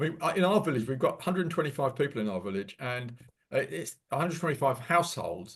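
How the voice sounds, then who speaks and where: With lively intonation, a man talks very fast at a fairly high pitch, sounding somewhat breathy. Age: 70s. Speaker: environmental presenter, retired marine specialist. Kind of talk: Q&A discussion after presentation. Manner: halting, many repetitions.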